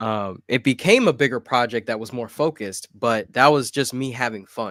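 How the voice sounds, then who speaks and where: Against a very clean recording with a silent background and a dry, close sound with no echo, a man speaks at a moderate pace in an unremarkable speaking voice of medium pitch. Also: ordinary pitch variation. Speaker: rapper. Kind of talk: casual chat. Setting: livestream.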